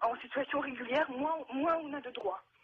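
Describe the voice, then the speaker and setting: A woman's high-pitched voice at a fairly slow pace, against noticeable background noise. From Russia. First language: Russian (speaking French). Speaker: naturalized citizen giving testimony. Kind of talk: televised debate testimony. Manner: halting.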